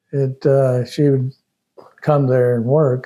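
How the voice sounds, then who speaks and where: A man with a Texan accent speaks at a medium pitch. His tone is dark and mellow, his intonation monotone and flat. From Austin, Texas. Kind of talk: interview answer. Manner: hesitant, conversational.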